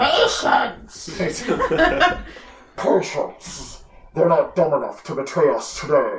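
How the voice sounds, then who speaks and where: Speaking at a very slow pace with long, frequent pauses, a man performs a put-on character voice. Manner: menacing, commanding.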